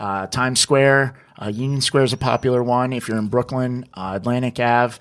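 A man with an American accent uses a plain, everyday voice at a medium pitch, with ordinary pitch variation and a moderate pace. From northern New Jersey. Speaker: social media creator, former producer. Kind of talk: casual interview. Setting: studio video podcast.

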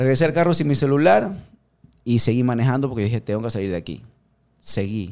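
At a very fast pace yet with long, frequent pauses, a man talks at a medium pitch. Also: lively intonation. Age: 30s. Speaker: CrossFit gym owner and coach. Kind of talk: casual interview.

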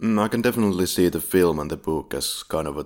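Vocal fry marks this man's speech, delivered at a moderate pace with ordinary pitch variation on a very clean recording with a silent background. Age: 30s. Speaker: podcast host. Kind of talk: casual chat; plot summary narration.

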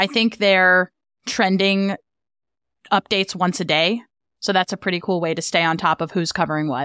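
The sound is dry and close with no echo as a woman of medium pitch speaks at a moderate pace. She uses ordinary pitch variation and takes long, frequent pauses. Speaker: podcast co-host. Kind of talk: casual chat. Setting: remote recording session. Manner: relaxed, not her usual host voice.

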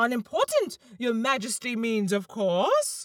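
A woman does a put-on character voice that is shrill and fairly high-pitched, speaking at a fairly slow pace. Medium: read story. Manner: respectful.

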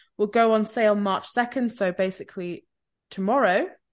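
A woman uses a normal speaking voice at a medium pitch with ordinary pitch variation, against a quiet background. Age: 20s. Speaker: podcast co-host. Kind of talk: casual chat.

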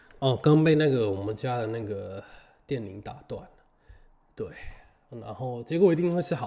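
A man speaks with a somewhat breathy voice and lively intonation. He leaves long, frequent pauses. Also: medium pitch for a man, moderate pace. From Taiwan. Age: 20s. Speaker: podcast host. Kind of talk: casual solo monologue. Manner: halting, many fillers and repetitions.

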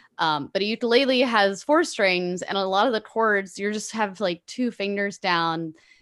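A woman talks with a Californian accent. The background is quiet. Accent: Californian American English. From Los Angeles, California. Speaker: musician and podcaster. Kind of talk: interview conversation.

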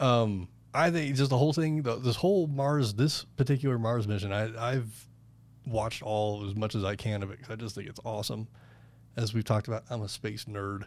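The recording is very clean and the background silent. An unremarkable speaking voice goes at a fairly quick pace, its pitch varying in an ordinary way. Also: man, medium pitch for a man. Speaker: podcast host. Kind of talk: casual chat.

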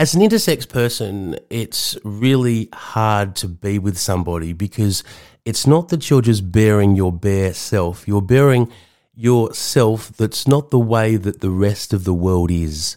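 With an Australian accent, a man speaks at a fairly slow pace in a fairly low pitch with ordinary variation. His tone is dark and mellow, on a very clean recording with a silent background. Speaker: podcast host and counsellor. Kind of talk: personal monologue.

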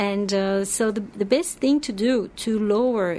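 A woman speaks with a French accent at a medium pitch. Her pitch varies in an ordinary way. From France. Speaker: nutritionist. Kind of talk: interview. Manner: halting.

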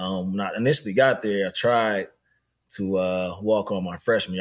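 Recorded very cleanly against a silent background, a man with a plain, everyday voice speaks at a moderate pace with fairly even intonation. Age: 30s. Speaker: youth basketball program director. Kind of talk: interview.

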